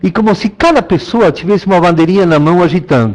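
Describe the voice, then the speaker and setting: In a Spanish accent, a man speaks with a high pitch. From Argentina. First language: Spanish (speaking Portuguese). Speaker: landscape designer. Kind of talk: online talk. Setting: online talk.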